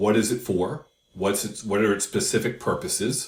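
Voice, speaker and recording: This is a man talking. There is a somewhat breathy quality to his voice. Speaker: crypto YouTuber. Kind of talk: casual explainer video.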